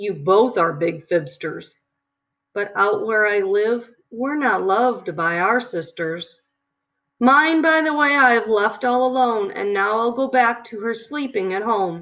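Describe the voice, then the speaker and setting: A fairly high, female-sounding put-on character voice at a fairly slow pace against a quiet background. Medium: read story. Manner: loud, grumbling.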